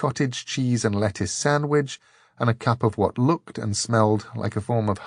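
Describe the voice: This is plain reading aloud. Its pitch varies in an ordinary way.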